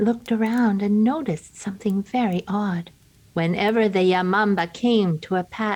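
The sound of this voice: What we hear is an unforced reading voice.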